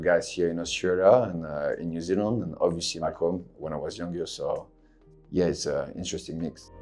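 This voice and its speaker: A man speaks at a fairly quick pace. His very deep, low voice shows ordinary pitch variation. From France. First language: French. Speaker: MMA fighter. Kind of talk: interview.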